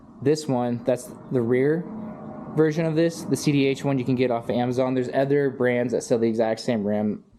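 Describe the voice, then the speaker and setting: Against noticeable background noise, a man talks at a fairly quick pace with medium pitch and ordinary pitch variation. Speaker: motorized bicycle builder, YouTuber. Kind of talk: casual workshop walkthrough. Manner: fast.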